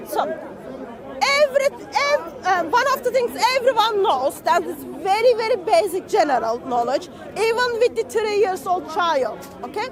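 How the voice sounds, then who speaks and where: Over crowd noise, a man with a non-native accent speaks at an extremely high pitch with very wide pitch swings, a moderate pace and long, frequent pauses. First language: not English. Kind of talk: heated debate. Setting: outdoors. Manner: repetitive, insistent.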